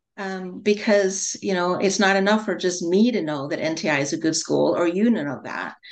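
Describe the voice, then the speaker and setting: A woman speaks in an ordinary speaking voice at a medium pitch and moderate pace. Her pitch varies in an ordinary way, and she barely pauses. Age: 60s. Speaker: holistic nutrition counselor. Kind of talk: interview.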